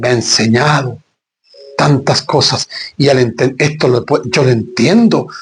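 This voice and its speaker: A man's voice comes across as somewhat breathy, with ordinary pitch variation. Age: 60s. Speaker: pastor. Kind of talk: sermon.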